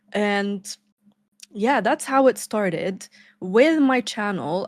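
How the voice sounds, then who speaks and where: In a non-native accent, the speaker talks at a very slow pace with ordinary pitch variation. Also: woman. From Lebanon. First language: not English. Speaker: YouTuber. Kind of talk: casual chat.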